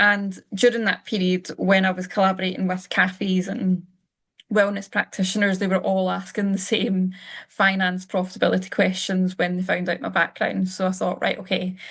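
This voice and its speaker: Against a quiet background, a woman with a Scottish accent speaks at a medium pitch in a monotone, flat delivery. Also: moderate pace. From Scotland. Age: 30s. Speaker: finance coach. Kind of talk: webinar presentation. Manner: casual, with frequent fillers.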